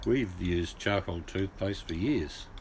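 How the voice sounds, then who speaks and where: This man's voice sits at a very deep, low pitch. He talks at a fairly slow pace. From England. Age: 60s. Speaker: livestreamer. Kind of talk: casual chat.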